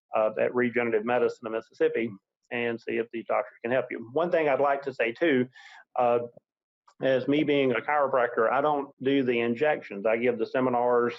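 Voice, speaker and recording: The speaker has a plain, everyday voice and moves at a fairly quick pace. The intonation is fairly even. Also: man, medium pitch for a man. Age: 50s. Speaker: chiropractor and clinic director. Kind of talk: interview. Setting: webinar.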